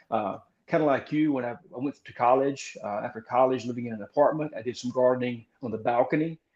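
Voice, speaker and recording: Talking at a very fast pace, a man with a medium pitch keeps a fairly even intonation while his loudness swings widely. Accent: Southern US. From Mississippi, US South. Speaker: gardener and author. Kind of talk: casual interview.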